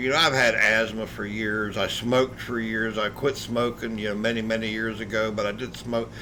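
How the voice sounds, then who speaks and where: A man over noticeable background noise. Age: 60s. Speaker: video game streamer. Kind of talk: casual chat. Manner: halting.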